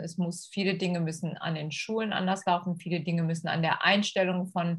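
A woman speaks in a somewhat breathy voice. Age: 50s. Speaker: school integration assistant. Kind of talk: podcast interview. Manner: hesitant with many fillers.

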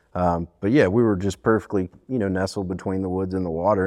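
Against a quiet background, a man with a Southern US accent talks in a very deep, low pitch with fairly even intonation. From US South, southern Alabama (Fairhope, Mobile Bay). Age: 30s. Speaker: fishing guide. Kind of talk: casual interview.

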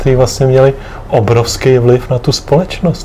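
Noticeable background noise sits under a man speaking at a moderate pace and a medium pitch. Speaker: podcast host, grandson. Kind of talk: family interview. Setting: home apartment.

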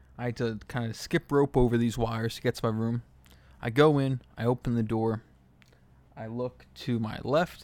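Quiet and at a moderate pace, a man speaks in a medium pitch with fairly even intonation. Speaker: solo podcaster. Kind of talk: casual monologue. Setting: hotel room. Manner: speaking quietly.

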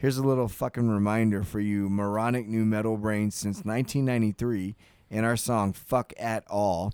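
A man's normal speaking voice at a fairly low pitch and moderate pace, with fairly even intonation and a dry, close sound with no echo. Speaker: podcast co-host. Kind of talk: casual banter. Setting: studio.

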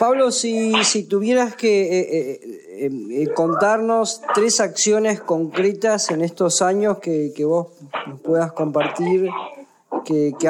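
This man speaks very slowly. Still, his intonation stays lively. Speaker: radio host. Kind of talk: radio interview. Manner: halting, repeats words.

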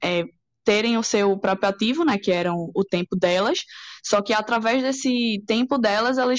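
A woman's fairly high-pitched, plain, everyday voice with ordinary pitch variation. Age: 20s. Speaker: copywriter and crypto student. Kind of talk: podcast interview.

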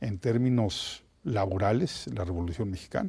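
The tone is dark and mellow, a little breathy. Intonation stays lively throughout. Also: man. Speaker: historian. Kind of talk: interview.

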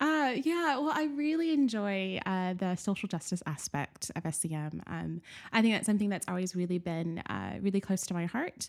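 A woman with a Southern US accent talks at a moderate pace with hardly any pauses and very wide pitch swings, on a very clean recording with a silent background. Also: medium pitch for a woman. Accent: American Southern. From US South, Nashville, Tennessee. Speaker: academic researcher and church leader. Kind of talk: casual interview chat.

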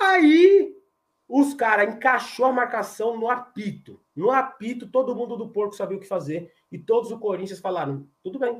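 A man's animated voice at an extremely high pitch, moderate pace, with big swings in loudness and very wide pitch swings. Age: 30s. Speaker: football fan channel host. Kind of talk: casual post-match live chat. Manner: animated, repetitive.

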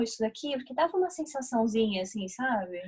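Her pitch swings very widely. The woman speaks at a moderate pace. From Brazil, São Paulo. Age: 20s. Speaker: podcast co-host, psychology student. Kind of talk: storytelling.

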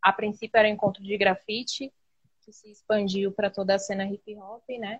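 A woman's medium-pitched, normal speaking voice at a moderate pace, with a dry, close sound and no echo. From Embu das Artes, São Paulo state, Brazil. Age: 20s. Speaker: street artist. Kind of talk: interview. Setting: live video call.

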